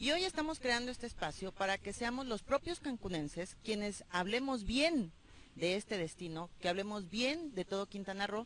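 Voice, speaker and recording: A woman with an ordinary speaking voice talks at a moderate pace. Her medium pitch carries lively intonation. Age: 40s. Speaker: radio host. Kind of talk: interview.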